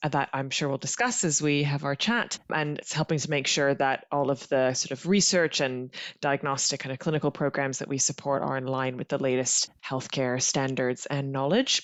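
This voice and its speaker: A woman speaks with an American accent at a very deep, low pitch. Her intonation stays fairly even. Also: moderate pace, hardly any pauses. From Canada. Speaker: genetic counselor. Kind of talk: podcast interview.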